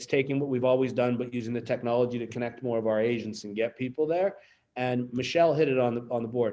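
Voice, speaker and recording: Speaking at a very fast pace, a man with a slight Pittsburgh accent has a medium pitch and a dark, mellow tone. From Pittsburgh, Pennsylvania. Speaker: real estate company executive. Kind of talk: town hall speech. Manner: animated.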